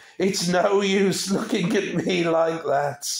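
Using a put-on character voice, a man speaks shrill and high at a fairly slow pace, with audible echo around him. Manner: shrieking, bitter.

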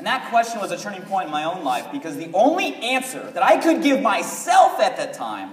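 Over light background noise, a man uses an animated tone at a high pitch, with very wide pitch swings. Audible room echo surrounds his voice. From US, Southern California. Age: young. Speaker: company co-founder, motivational speaker; motivational speaker. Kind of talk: motivational speech. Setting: stage with audience. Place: hall. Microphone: pa.

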